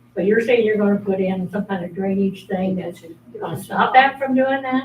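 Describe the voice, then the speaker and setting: Over noticeable background noise, a woman with an American accent talks at a moderate pace in a medium pitch with ordinary pitch variation. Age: 80s+. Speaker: resident speaking at public meeting. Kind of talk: public comment. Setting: city meeting.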